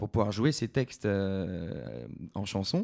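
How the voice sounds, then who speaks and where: A man's dark, mellow tone. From France, Creuse. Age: 20s. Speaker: singer-songwriter. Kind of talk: interview. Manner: hesitant.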